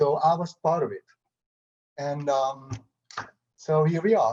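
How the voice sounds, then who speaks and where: A man speaks fairly slowly in a Hungarian accent. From Hungary. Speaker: photographer. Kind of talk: panel discussion. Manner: halting.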